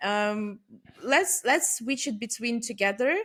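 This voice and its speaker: The woman has a non-native accent. She talks at a fairly slow pace. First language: not English. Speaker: business development and growth leader. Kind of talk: podcast interview. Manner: hesitant, many fillers.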